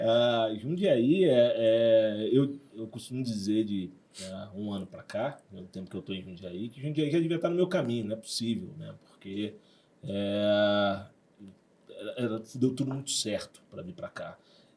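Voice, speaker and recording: Fairly slow and dark, mellow in tone, a medium-pitched man with a Rio de Janeiro accent speaks with lively intonation and big swings in loudness. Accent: carioca. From Rio de Janeiro, Brazil (Zona Sul). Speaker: university director. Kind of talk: podcast interview. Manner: hesitant, many fillers.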